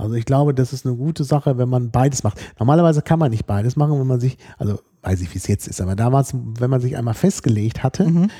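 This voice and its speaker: In a very clean, silent recording with a dry, close sound and no echo, a man talks at a very fast pace, his dark, mellow voice somewhat breathy with ordinary pitch variation. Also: medium pitch for a man. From Germany. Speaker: podcast co-host. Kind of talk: casual chat.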